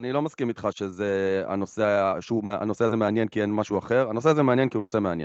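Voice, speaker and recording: Hardly pausing, a man speaks at a very fast pace in a fairly low pitch with ordinary pitch variation. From Israel, Raanana. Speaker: podcast co-host. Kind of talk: casual chat. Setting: remote, in isolation abroad.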